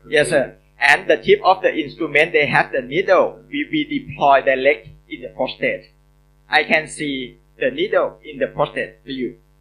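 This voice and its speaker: A moderate pace in a Thai accent, with big swings in loudness. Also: man. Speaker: urologist. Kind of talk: Q&A answers. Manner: halting.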